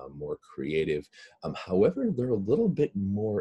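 A man's moderately paced speech comes over a quiet background. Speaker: webinar presenter. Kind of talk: lecture. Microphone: webcam.

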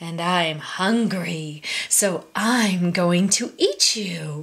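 A woman's put-on character voice at a medium pitch and a very slow pace. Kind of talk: children's story reading. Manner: greedy, smug, menacing.

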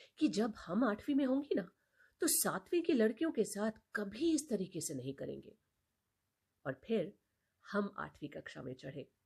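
A woman speaks at a fairly slow pace with long, frequent pauses, her fairly high pitch swinging very widely. Her tone is dark and mellow, with vocal fry. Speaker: storyteller. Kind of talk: reading aloud.

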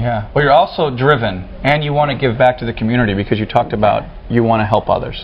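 Talking fast, a man holds a medium pitch with fairly even intonation.

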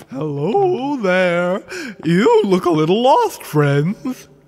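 A man puts on a character voice, pitched high with very wide swings, and speaks at a very slow pace. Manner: gleeful, playful.

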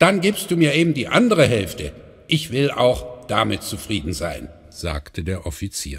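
A man at medium pitch with very wide pitch swings. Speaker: audiobook narrator. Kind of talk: bedtime story reading, calm fairy-tale narration aloud with character voices. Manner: gentle, unhurried storyteller pace, warm and expressive.

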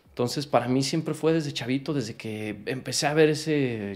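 The pace here is moderate. A man speaks with ordinary pitch variation. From Mexico. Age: 30s. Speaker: professional footballer; interview guest. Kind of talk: interview. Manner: animated. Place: home room. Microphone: studio mic.

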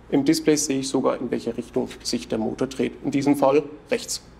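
The man's voice has a dark, mellow tone. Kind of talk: product explanation. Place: office. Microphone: lapel.

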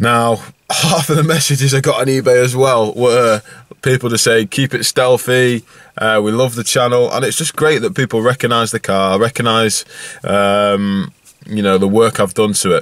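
A man talks at a moderate pace with ordinary pitch variation, his voice dry with no echo over a quiet background. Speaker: car vlogger. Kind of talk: casual vlog chat. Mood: relaxed, a bit amused. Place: car. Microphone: phone near.

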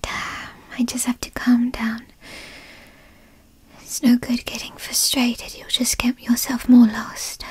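A woman uses a raspy, high-pitched put-on character voice. She speaks at a fairly slow pace with long, frequent pauses. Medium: role play. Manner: petulant, frustrated.

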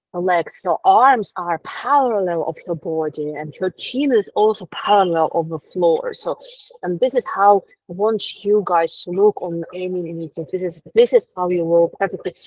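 A woman talks at a moderate pace with ordinary pitch variation and a Russian accent. The sound is dry with no echo over a quiet background. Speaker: etiquette specialist. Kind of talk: lecture. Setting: video call.

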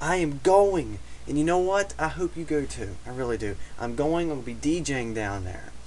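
Light background noise behind a man talking at a moderate pace. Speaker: vlogger. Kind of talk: casual vlog chat. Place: home room. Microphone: webcam.

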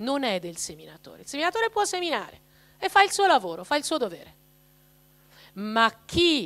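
A woman speaks with a high pitch. Her pitch swings very widely. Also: quiet background. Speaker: speaker. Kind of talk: talk to a parish audience. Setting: parish hall with live audience. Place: hall. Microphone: handheld.

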